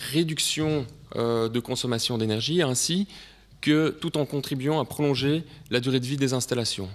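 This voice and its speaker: Speaking at a moderate pace with ordinary pitch variation, a man talks with a Belgian accent. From Belgium. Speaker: sales director presenting at a conference. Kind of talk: conference presentation. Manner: hesitant, many filler sounds.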